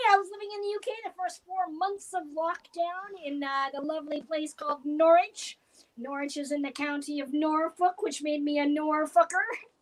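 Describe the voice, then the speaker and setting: A woman with a Canadian accent speaks in a high pitch. Her pace is moderate, and her pitch variation is ordinary. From Canada. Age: 50s. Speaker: comedian. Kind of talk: stand-up. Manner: animated.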